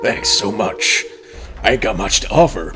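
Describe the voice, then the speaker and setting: Over clear music in the background, a man puts on a breathy character voice at a moderate pace. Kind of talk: rustic, dropped-g colloquial. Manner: humble, self-deprecating.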